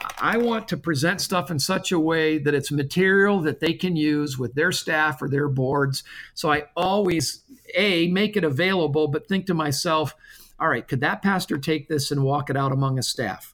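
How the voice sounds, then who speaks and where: On a very clean recording with a silent background, a man with an American accent talks at a moderate pace in an ordinary speaking voice, with a fairly high pitch, ordinary pitch variation and very even loudness. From US Midwest (Michigan). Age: 50s. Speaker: church denomination leader and pastor. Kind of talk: interview.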